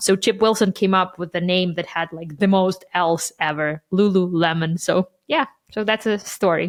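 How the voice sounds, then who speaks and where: A woman talks with a Ukrainian accent. Her intonation is fairly even. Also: medium pitch for a woman, moderate pace. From Ukraine. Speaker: marketing podcast co-host. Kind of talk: casual chat.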